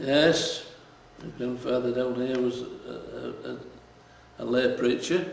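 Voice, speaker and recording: Noticeable background noise sits behind a man talking at a medium pitch and a fairly slow pace. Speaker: fisherman. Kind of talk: interview answer.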